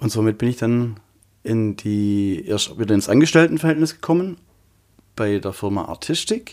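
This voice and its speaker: A man with a normal speaking voice at medium pitch, lively intonation and a moderate pace, on a very clean recording with a silent background. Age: 40s. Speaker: trade show fitter. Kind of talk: interview.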